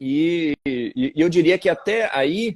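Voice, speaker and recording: This is a man speaking. His intonation is lively. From Bahia, Brazil. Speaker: law professor. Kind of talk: interview. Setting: live video stream.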